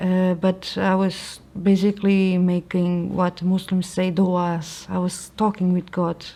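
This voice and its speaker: A woman speaks at a fairly slow pace in a Portuguese accent, her medium-pitched voice dark and mellow, with flat, monotone intonation and hardly any pauses. The recording is very clean, with a silent background. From Portugal. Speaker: convert to Islam. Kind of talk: testimony. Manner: halting.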